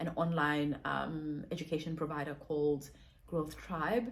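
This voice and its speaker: A woman speaks with a very deep, low pitch, somewhat breathy. Audible room echo surrounds her voice. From South Africa. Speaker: digital marketer and content creator. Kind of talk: vlog monologue. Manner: fast.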